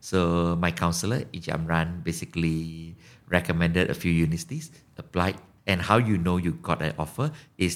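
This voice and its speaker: A man with a Malaysian accent speaks at a very deep, low pitch and a fairly quick pace. The recording is very clean, with a silent background. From Malaysia, small town on Penang-Perak border. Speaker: startup co-founder. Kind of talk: interview.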